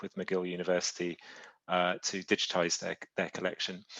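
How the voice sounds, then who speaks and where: A man speaks with a British accent. His pace is moderate. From Britain. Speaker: publishing executive. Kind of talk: presentation. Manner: halting.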